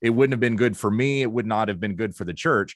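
Over a quiet background, a man with an American accent uses an ordinary speaking voice, with medium pitch and ordinary pitch variation. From Kansas, US Midwest. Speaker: pastor. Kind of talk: casual interview conversation.

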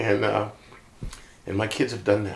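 A man with an American accent speaks at a moderate pace in a fairly low pitch. Noticeable background noise sits behind him. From US Midwest (Iowa). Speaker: pastor. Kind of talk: casual chat.

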